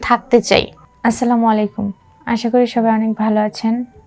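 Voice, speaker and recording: A woman's fairly high, monotone voice with flat intonation, over music in the background. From Bangladesh, Gaibandha. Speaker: newly married woman with husband abroad. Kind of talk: personal appeal monologue. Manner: halting.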